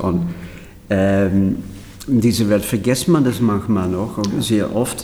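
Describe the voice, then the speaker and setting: A man talks at a fairly slow pace with a fairly low pitch and ordinary pitch variation. Noticeable background noise and audible room echo fill the recording. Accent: Dutch. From Netherlands. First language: Dutch (speaking German). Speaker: choreographer. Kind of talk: interview.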